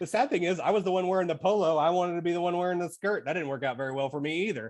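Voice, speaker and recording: A woman talks at a very fast pace. Her fairly low voice shows ordinary pitch variation. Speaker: podcast guest. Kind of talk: casual chat.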